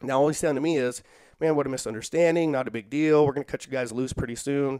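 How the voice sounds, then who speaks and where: A man's dark, mellow voice at a very fast clip, ordinary pitch movement, dry and echo-free, over a quiet background. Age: 40s. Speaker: social worker and jiu-jitsu practitioner; podcast guest. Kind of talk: casual interview chat; interview answer. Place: home room. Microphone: headset.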